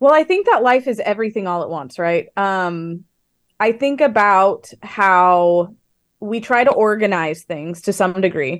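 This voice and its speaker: In a normal speaking voice, a woman at a medium pitch talks fairly slowly with lively intonation over a quiet background. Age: 30s. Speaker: author. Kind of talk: interview.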